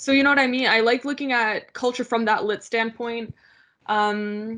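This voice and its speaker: Against a quiet background, a woman with a fairly high pitch and a bright, sharp tone speaks at a moderate pace, with fairly even intonation and very even loudness. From Canada, Polish family. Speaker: graduate student researcher. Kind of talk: casual interview. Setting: video call.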